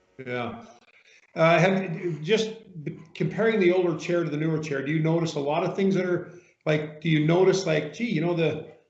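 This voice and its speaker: Room echo can be heard clearly. The speaker is a man. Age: 60s. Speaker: massage chair retailer interviewing customers. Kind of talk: customer interview.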